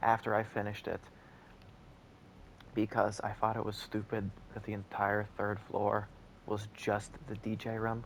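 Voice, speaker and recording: Quiet whispering comes with long, frequent pauses. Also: man. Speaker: gaming YouTuber. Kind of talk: gameplay commentary.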